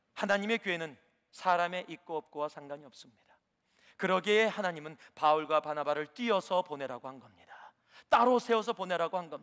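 Animated in tone, a man speaks fairly quickly in a high voice with ordinary pitch variation and big swings in loudness, the sound dry and close with no echo. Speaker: preacher. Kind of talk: sermon. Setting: church. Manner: animated, rhetorical questions, exhorting the congregation.

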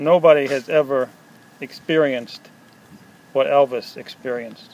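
With fairly even intonation, this man's delivery keeps a moderate pace. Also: dry sound with no echo. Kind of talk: casual show-and-tell commentary. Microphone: phone near.

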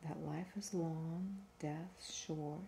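A soft-spoken woman with a gentle tone and a very deep, low pitch, ordinary pitch variation, and light background noise. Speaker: reader. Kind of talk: reading aloud from a book. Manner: soft-spoken, gentle ASMR reading voice. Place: home room. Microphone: phone near.

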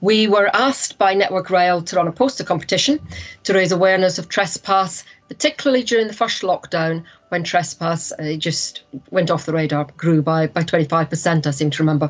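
A woman with a plain, everyday voice, fairly low pitch, ordinary pitch variation and a fairly quick pace. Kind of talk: presentation. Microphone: video call.

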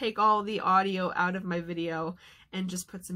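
With a quiet background, a woman talks at a moderate speed. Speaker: vlogger. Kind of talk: casual vlog chat. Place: home room. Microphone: webcam.

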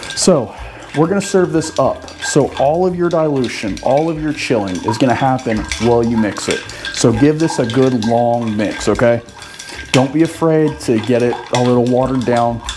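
Male speaker at a moderate pace amid noticeable background noise. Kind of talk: tutorial. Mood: relaxed, chatty. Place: bar. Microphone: camera far.

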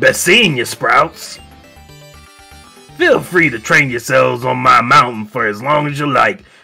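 Booming, drawling put-on character voice from a man of medium pitch, at a moderate pace, over faint music in the background. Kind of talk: comic overacting. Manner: folksy, blustering, mock-threatening.

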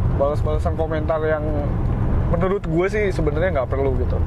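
Amid loud background noise, a man's voice comes through dry with no echo. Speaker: driver vlogger. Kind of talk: casual vlog chat. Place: car. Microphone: camera far.

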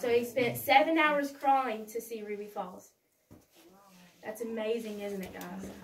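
Over light background noise, a woman speaks fairly slowly with ordinary pitch variation and big swings in loudness. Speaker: cave tour guide. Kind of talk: tour guide talk to a group. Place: tunnel cave. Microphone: camera far.

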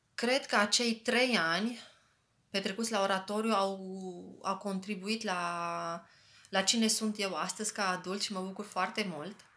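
A woman speaks in a bright, sharp tone at a fairly slow pace. Her intonation stays fairly even. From Romania, Arad county and Bacău; Romania. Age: 30s. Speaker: human resources specialist, former youth center member. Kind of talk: testimony. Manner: casual, friendly. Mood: warm, grateful. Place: home room. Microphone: phone near.

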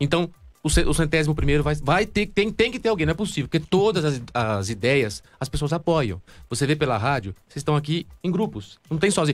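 Faint music plays in the background as a man talks at a fairly quick pace. His fairly high voice has vocal fry and very wide pitch swings. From Brazil. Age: 30s. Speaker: fan project creator. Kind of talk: casual interview. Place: studio. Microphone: studio mic.

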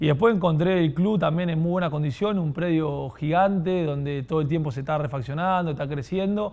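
At a fairly quick pace with hardly any pauses, a man speaks with ordinary pitch variation. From Argentina, southern Santa Fe province. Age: 20s. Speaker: professional football goalkeeper; guest. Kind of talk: podcast interview. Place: studio. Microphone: lapel.

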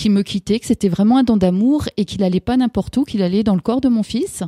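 A woman's somewhat breathy, dark, mellow voice of medium pitch and ordinary variation comes through in a very clean recording with a silent background and a dry, close sound with no echo. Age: 50s. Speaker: author and holistic practitioner. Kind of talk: radio interview. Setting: radio studio.

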